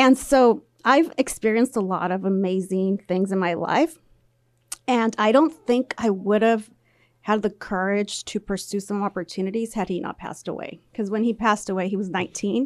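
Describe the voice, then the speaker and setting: With an American accent, a woman uses an ordinary speaking voice at medium pitch, with ordinary pitch variation and a moderate pace, in a dry, close sound with no echo. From Central Valley, California. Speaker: union executive and accountant. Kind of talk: casual radio interview. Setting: radio studio.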